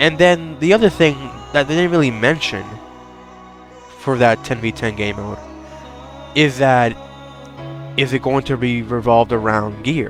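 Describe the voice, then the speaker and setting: Music plays behind a man speaking at a moderate pace and medium pitch. He uses ordinary pitch variation and leaves long, frequent pauses. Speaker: gaming video creator. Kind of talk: casual commentary talk.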